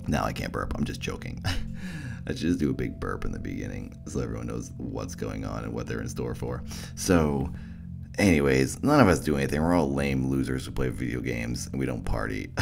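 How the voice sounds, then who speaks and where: A man's very deep, low voice at a fairly quick pace, with ordinary pitch variation and music in the background. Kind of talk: casual podcast talk.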